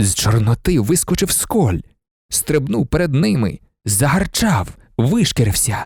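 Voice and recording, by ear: Over a quiet background, someone reads aloud in a natural voice.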